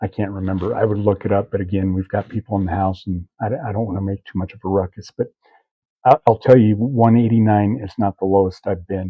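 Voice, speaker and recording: Quiet and very fast, a man speaks at a fairly low pitch with fairly even intonation. His loudness swings a lot. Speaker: diet vlogger, hunter. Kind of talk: casual vlog update. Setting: home kitchen at night. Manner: hushed, keeping voice down; hesitant, many fillers.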